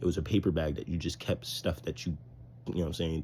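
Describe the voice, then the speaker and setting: At a very fast pace, a man with a very deep, low pitch, ordinary pitch variation, vocal fry and a dark, mellow tone speaks. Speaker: vlogger. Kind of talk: casual vlog monologue.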